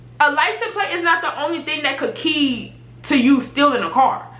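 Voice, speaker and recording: Speaking at a moderate pace, a woman with a high voice projects it loudly. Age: 20s. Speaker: YouTuber. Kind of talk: casual storytime talk to camera.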